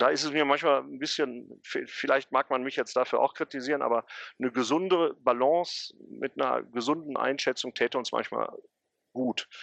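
Recorded with a dry, close sound, no echo and a quiet background, a man speaks at a moderate pace with a medium pitch, vocal fry and fairly even intonation. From Ruhr area, Gelsenkirchen. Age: 40s. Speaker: football historian and city tour guide. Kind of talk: interview.

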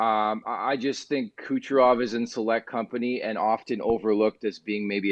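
A man with a Canadian accent and an unremarkable speaking voice, medium in pitch, at a moderate pace with hardly any pauses and fairly even intonation. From Canada, Montreal. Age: 30s. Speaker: sports radio host. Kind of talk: casual sports talk.

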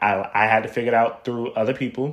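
A man speaks at a medium pitch with an American accent. His intonation is monotone and flat. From Miami, Florida. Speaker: podcast host. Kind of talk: casual monologue. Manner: casual with filler words.

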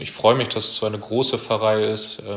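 Heard through audible room echo and noticeable background noise, a man speaks at a medium pitch. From Germany, Kreis Steinfurt (Münsterland). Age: 20s. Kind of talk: self-introduction monologue.

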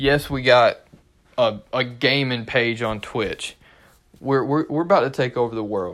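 A man speaks at a fairly slow pace with a medium pitch. His pitch varies in an ordinary way. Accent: North Carolina. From North Carolina, Durham area. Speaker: sports podcast host. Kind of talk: solo casual monologue.

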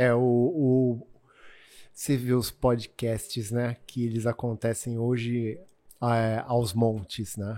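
The delivery is very slow, with fairly even intonation. The recording is very clean over a silent background. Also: man, medium pitch for a man. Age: 50s. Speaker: water sports event founder. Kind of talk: casual interview chat. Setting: in person studio.

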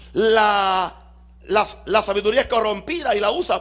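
Pitched extremely high, a man's voice proceeds at a fairly slow pace. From Puerto Rico. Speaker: pastor. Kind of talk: sermon. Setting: church.

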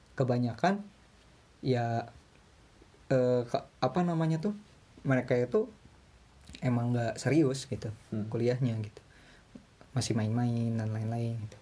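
With a dark, mellow tone, a man speaks at a medium pitch and a moderate pace, somewhat breathy, with ordinary pitch variation. He takes long, frequent pauses. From Indonesia. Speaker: university student abroad. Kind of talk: casual chat.

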